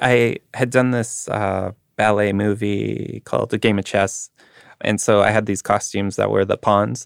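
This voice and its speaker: With a Manitoban accent and vocal fry, a man speaks at a fairly slow pace in a monotone, flat intonation, captured in a very clean recording with a silent background and a dry, close sound with no echo. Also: fairly low pitch for a man. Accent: Canadian (Manitoba). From Canada, Winnipeg. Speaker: artist. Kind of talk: casual chat.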